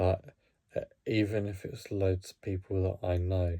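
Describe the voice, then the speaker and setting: A man speaks with a very deep, low pitch. His tone is dark and mellow, and somewhat breathy. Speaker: hockey vlogger. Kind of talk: casual talk to camera. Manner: halting, many fillers and restarts; talking really slowly.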